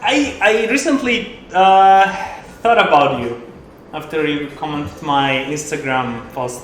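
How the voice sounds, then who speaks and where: With a non-native accent, the speaker talks at a very slow pace with very wide pitch swings, against audible room echo and noticeable background noise. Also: man, fairly high pitch for a man. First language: not English. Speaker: poker streamer and coach. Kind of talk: live stream commentary while playing poker. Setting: live stream. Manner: casual, halting.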